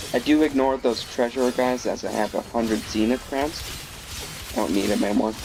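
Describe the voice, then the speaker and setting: Music plays in the background as a man speaks at a fairly quick pace in a medium pitch with ordinary pitch variation. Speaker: gaming video creator. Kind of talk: gameplay commentary. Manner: stuttering a bit; halting. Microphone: bad mic quality.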